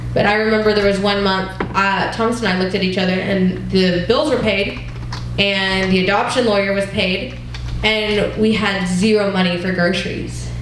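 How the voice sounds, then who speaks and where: Against noticeable background noise and audible room echo, a woman speaks at a medium pitch with monotone, flat intonation and very even loudness. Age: 20s. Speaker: church class leader. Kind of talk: teaching talk with personal testimony. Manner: conversational.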